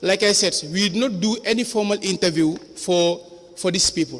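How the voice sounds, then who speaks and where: This man's voice sits high in pitch. Background noise is noticeable throughout. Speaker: former councillor testifying as witness. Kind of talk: witness testimony. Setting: commission of inquiry hearing. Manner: loud; halting.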